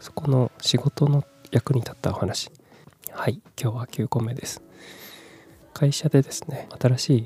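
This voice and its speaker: Pitched in the medium range, a man with an unremarkable speaking voice uses fairly even intonation in a dry, close sound with no echo. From Japan, Kumamoto. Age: 30s. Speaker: podcaster. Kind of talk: casual solo talk. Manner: soft, relaxed.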